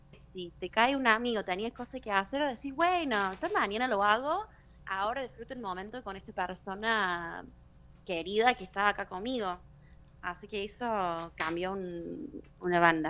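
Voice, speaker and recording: A woman's medium-pitched voice in a Cordoban Argentine accent, bright and sharp in tone, with lively intonation. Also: big swings in loudness. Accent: Argentine Spanish, Córdoba style. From US, Denver, Colorado. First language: English (speaking Spanish). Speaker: exchange student turned social media personality. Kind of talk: radio interview.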